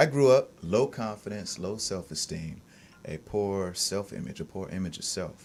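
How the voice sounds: Lively intonation and a slightly husky edge carry the voice along at a moderate pace. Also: man.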